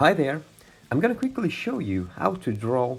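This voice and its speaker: A man talks while music plays in the background. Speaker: digital art tutor. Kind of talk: tutorial.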